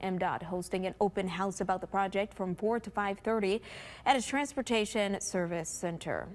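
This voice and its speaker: The recording is very clean, with a silent background. A woman talks at a moderate pace in an unremarkable speaking voice of medium pitch, with ordinary pitch variation. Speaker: TV news anchor and reporter. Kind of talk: morning TV news anchor read.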